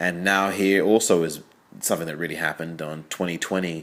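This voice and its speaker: Speaking at a fairly quick pace with a slight English accent, a man delivers his very deep, low-pitched voice in a monotone, flat intonation. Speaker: film critic. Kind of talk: audio commentary. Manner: conversational, with fillers.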